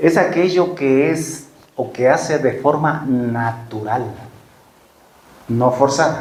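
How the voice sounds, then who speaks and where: A somewhat breathy man at a very slow pace, with long, frequent pauses, ordinary pitch variation and audible room echo. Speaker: preacher. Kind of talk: sermon.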